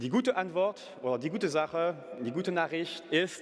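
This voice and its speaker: The man's voice is high, with a French accent. His intonation is lively and his pace moderate. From France. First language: French (speaking German). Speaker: company CEO. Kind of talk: business pitch. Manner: halting, with fillers and self-corrections.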